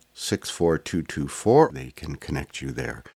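Very slowly, a man talks with vocal fry and ordinary pitch variation. The sound is dry and close, with no echo. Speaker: podcast host. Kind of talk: scripted intro and interview.

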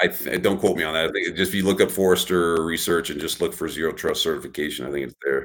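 Speaking at a very fast pace, a man with an American accent uses a very deep, low voice marked by vocal fry. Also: fairly even intonation. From Texas. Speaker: cybersecurity expert, retired navy cryptologist. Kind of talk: interview. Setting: video call from a hotel room.

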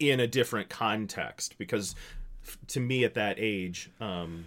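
A man with an ordinary speaking voice and a fairly low pitch shows ordinary pitch variation on a very clean recording with a silent background. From US, small town. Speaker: pastor. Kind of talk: casual chat.

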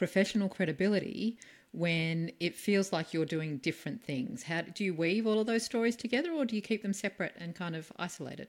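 With an Australian accent, a woman talks at a fairly quick pace and medium pitch with lively intonation, in a very clean recording with a silent background. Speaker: podcast host and speaking coach. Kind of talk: interview.

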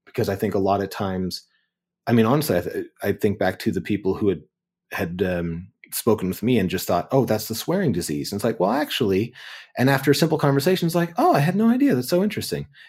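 A man with a Canadian accent, medium-pitched, with very wide pitch swings and a very fast pace, on a very clean recording with a silent background. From Ontario, Canada (Kitchener-Waterloo). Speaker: writer and actor. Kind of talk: interview conversation. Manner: halting, many repetitions and fillers.

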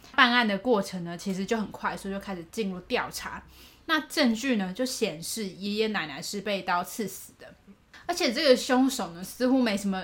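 A woman speaks at a medium pitch with ordinary pitch variation. Her pace is moderate. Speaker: podcast co-host. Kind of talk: case storytelling. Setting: home recording in co-host's room. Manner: raises pitch slightly when recording.

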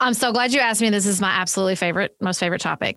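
A woman with a Southern US accent speaks with ordinary pitch variation in a dry, close sound with no echo, on a very clean recording with a silent background. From US South. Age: 40s. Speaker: political podcast host and author. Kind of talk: casual interview conversation.

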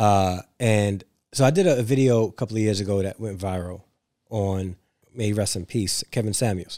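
At a moderate pace, a man with a New York accent speaks in a fairly low, dark, mellow voice with fairly even intonation, in a very clean recording with a silent background. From New York City (Brooklyn, Staten Island). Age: 40s. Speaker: author and educator. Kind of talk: casual interview.

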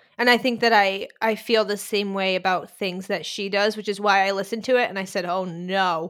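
A woman with an American accent speaks at a medium pitch and a fairly quick pace, in an animated tone. The recording is very clean, with a silent background. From Boston, US. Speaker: music writer and Paramore fan. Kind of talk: casual chat. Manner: animated, excitable.

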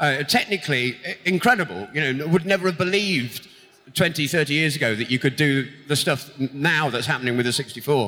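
This is a man with an English accent. His pitch sits fairly high. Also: lively intonation, moderate pace. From Britain. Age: 40s. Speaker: video game composer. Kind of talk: stage interview. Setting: stage with audience.

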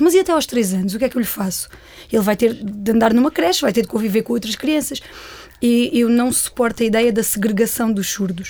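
Over noticeable background noise, a woman speaks at a very fast pace in a high pitch. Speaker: nurse and parent of deaf child. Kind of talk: interview conversation. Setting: studio.

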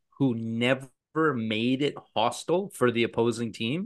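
A man with a plain, everyday voice speaks at medium pitch with ordinary pitch variation. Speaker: podcast co-host. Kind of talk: casual sports chat.

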